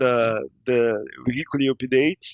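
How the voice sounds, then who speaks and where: With a Portuguese accent, a man speaks at a medium pitch and fairly even intonation. The sound is dry and close, with no echo. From Brazil, Rio de Janeiro. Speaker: game modder. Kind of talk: casual interview. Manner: halting, repeating words.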